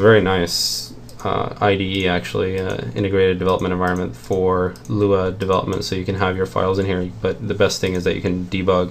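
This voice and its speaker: A soft-spoken man with a very deep, low voice talks fairly quickly, with audible room echo and noticeable background noise. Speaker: game developer streaming programming. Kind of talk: programming tutorial commentary. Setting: home at night, screen recording. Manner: halting, many fillers.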